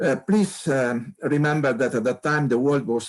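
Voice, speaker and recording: With an Italian accent, a man speaks at medium pitch and a moderate pace. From Italy, Turin. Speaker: astronomer. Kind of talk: interview. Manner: halting, repeats words.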